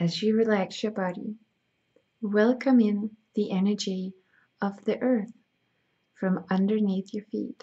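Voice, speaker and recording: A somewhat breathy voice at a fairly slow pace, with fairly even intonation and long, frequent pauses. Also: woman, medium pitch for a woman. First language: Danish. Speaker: spiritual healer. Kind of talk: reading aloud; guided meditation.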